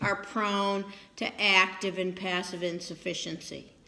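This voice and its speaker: The room echo is audible. A woman talks fairly slowly within it. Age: 60s. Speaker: physical therapy instructor. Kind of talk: lecture.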